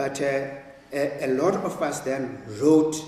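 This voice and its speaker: A man speaks in a fairly high voice with a Zulu accent. Noticeable background noise and audible room echo are present. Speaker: writer and professor. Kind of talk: public conversation. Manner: halting.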